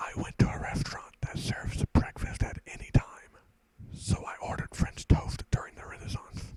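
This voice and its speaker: A man whispers with big swings in loudness. The sound is dry and close with no echo, over noticeable background noise. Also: moderate pace. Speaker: ASMR creator. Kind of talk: whispered stand-up comedy one-liners. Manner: whispered.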